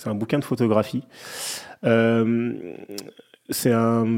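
A man's dark, mellow tone at a medium pitch and fairly slow pace. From Paris suburbs, Clichy-la-Garenne. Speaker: film director. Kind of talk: casual interview.

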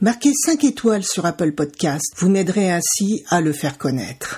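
A woman's medium-pitched voice, somewhat breathy and dark and mellow in tone, swings very widely in pitch. The recording is very clean with a silent background. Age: 60s. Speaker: podcast host and cancer survivor. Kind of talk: personal testimony. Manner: slow.

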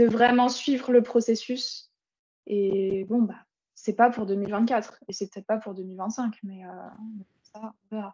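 A woman with a fairly high pitch talks very slowly, her intonation fairly even. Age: 20s. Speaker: online fitness coach. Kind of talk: casual chat. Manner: halting.

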